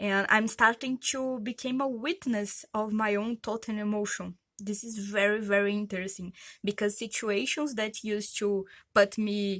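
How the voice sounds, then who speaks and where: With fairly even intonation, a woman speaks at a moderate pace in a fairly high pitch, captured in a very clean recording with a silent background. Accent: Brazilian. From Brazil. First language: Portuguese. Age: 30s. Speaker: vlogger. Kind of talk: personal vlog testimony. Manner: hesitant, many fillers.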